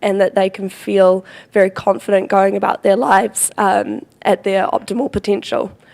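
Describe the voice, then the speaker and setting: A put-on character voice from a woman, croaky and raspy, at medium pitch and a moderate pace. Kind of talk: professional, explaining.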